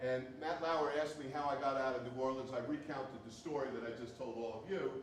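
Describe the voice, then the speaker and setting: Noticeable background noise and audible room echo surround this man's voice. He speaks fairly high with an American accent and fairly even intonation. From New Jersey. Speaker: university president. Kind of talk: speech. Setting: hall with student audience. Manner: fast.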